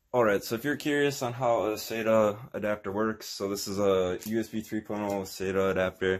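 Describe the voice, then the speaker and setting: Here a man speaks at a moderate pace with hardly any pauses. His voice is fairly low, with fairly even intonation. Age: 20s. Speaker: tech tutorial youtuber. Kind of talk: tutorial. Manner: casual, hesitant with fillers. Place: home room. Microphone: phone near.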